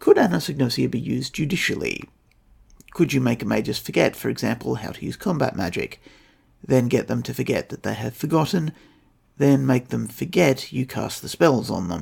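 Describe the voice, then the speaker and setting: Speaking fairly quickly with an Australian accent, a man lets his loudness swing widely. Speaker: podcast host. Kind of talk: scripted narration.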